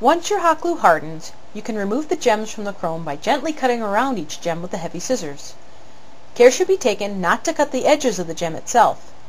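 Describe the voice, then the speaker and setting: A woman speaks at a fairly quick pace, her pitch fairly high and swinging very widely. Her loudness rises and falls a lot, and there is noticeable background noise. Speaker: prop and armor maker. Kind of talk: tutorial narration. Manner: stilted, halting read from cue cards.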